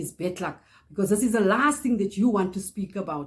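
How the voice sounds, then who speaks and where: A woman speaks at a fairly quick pace in a somewhat breathy voice with ordinary pitch variation. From South Africa. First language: Afrikaans. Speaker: YouTuber. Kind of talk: casual vlog chat; personal testimony.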